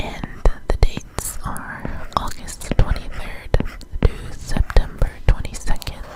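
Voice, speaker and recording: Noticeable background noise surrounds a very slow whisper. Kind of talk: ASMR whispered tutorial. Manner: whispered; soft-spoken, slow.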